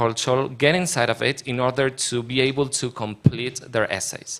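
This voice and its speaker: In a very clean recording with a silent background, a man with a Spanish accent talks at a moderate pace and a medium pitch. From Argentina. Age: 20s. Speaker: panel speaker on education programs. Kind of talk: panel discussion.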